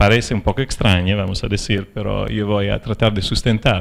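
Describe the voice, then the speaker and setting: A man speaks with a non-native accent. His pitch is fairly low, with ordinary variation. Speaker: philosopher of science. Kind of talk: lecture. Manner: halting, many fillers.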